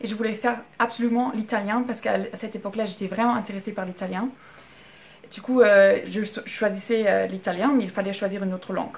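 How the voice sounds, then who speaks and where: A woman talks very fast at a fairly high pitch, her intonation flat and monotone. Her loudness swings widely. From Germany. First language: German (speaking French). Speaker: vlogger. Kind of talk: casual storytelling vlog. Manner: halting, many fillers.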